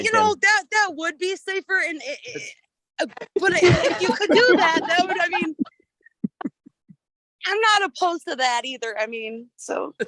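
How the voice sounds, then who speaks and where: Using a raised, projected voice, a woman speaks at a moderate pace in an extremely high pitch, with very wide pitch swings and long, frequent pauses. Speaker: defendant in traffic court. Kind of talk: court hearing answer.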